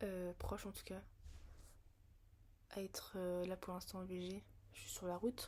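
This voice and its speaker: A woman at a medium pitch speaks in a monotone, flat intonation at a fairly slow pace, leaving long, frequent pauses. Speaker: vlogger. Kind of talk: casual monologue vlog. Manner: slow, hesitant with many fillers.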